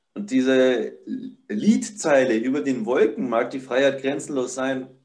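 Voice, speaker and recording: Here a man speaks at a very slow pace. His pitch is medium and his intonation lively. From Upper Palatinate, Bavaria. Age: 20s. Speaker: barefoot living and ice bathing enthusiast. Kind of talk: casual interview.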